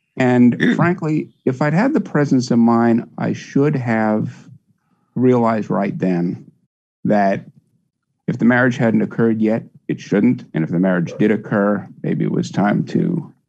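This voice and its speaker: At a fairly slow pace, a man with a medium pitch and a plain, everyday voice speaks with lively intonation. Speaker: caller. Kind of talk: casual chat. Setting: video call.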